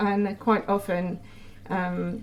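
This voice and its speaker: A woman's voice with vocal fry. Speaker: vlogger. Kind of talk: casual monologue vlog. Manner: hesitant, many fillers.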